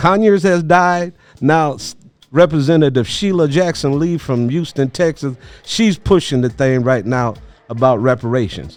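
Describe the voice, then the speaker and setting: A man with a plain, everyday voice and a fairly high pitch speaks at a moderate pace with lively intonation. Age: 60s. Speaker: podcast host and activist. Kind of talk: interview discussion.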